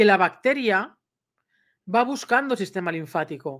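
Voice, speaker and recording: A woman talks in an animated tone with lively intonation and a fairly high pitch. The background is quiet. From Spain. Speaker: dog trainer and YouTuber; dog trainer, YouTuber. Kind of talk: personal vlog storytelling. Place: home room. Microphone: webcam.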